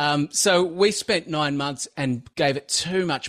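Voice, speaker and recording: A man with an Australian accent against a quiet background. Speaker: video marketer and course creator. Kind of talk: interview. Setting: remote call.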